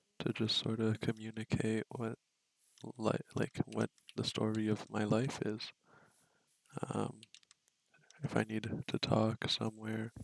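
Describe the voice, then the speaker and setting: Soft-spoken and monotone, with flat intonation, the speaker moves at a fairly slow pace with long, frequent pauses. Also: man, fairly low pitch for a man. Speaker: vlogger. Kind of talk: casual monologue. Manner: hesitant, many fillers. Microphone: poor audio quality.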